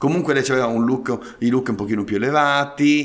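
A man speaks over noticeable background noise. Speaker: podcast host. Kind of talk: casual chat.

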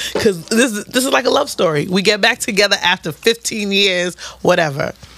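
The voice has an animated tone with ordinary pitch variation at a moderate pace. Noticeable background noise runs underneath. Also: woman. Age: 30s. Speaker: podcast co-host. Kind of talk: casual chat.

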